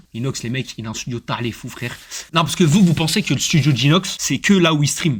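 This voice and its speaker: This man sounds animated, with lively intonation and a fairly high pitch. He talks at a fairly quick pace with a somewhat breathy voice. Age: 20s. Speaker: streamer. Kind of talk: casual live stream chat. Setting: streaming studio.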